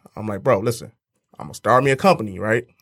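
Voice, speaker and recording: A man talks at a very fast pace. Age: 30s. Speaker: security business owner. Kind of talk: casual interview chat. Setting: studio. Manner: laid-back.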